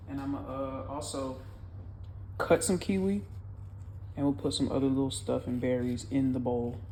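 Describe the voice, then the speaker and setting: A woman with a very deep, low pitch talks at a moderate pace in a dark, mellow tone with ordinary pitch variation. Long, frequent pauses break up her speech, and audible room echo is present. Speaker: vlogger. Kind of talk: cooking vlog; casual chat. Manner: loud.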